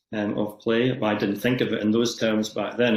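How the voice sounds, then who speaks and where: A man with a Scottish accent, fairly low in pitch, monotone and flat, at a moderate pace. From Scotland, Edinburgh area. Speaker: society chair, yoga teacher. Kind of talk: podcast interview. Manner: hesitant with many fillers.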